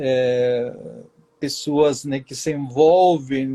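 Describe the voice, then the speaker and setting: A man with a Spanish accent speaks in a dark, mellow tone with ordinary pitch variation, the sound dry and close with no echo. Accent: Spanish accent in Portuguese, unchanged. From southern Chile. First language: Spanish (speaking Portuguese). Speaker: writer. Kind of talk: interview.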